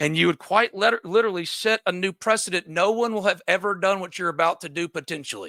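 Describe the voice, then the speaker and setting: Raising and projecting his high-pitched voice, a man with an American accent speaks at a very fast pace with hardly any pauses, his tone bright, sharp and animated and his pitch variation ordinary, in a very clean recording with a silent background. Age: 40s. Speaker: sports reporter and show host. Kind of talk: commentary monologue. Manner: loud.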